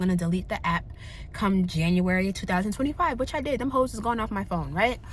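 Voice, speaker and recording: Against noticeable background noise, a woman talks at a very fast pace with an animated tone and lively intonation. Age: 30s. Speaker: vlogger. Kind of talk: casual chat.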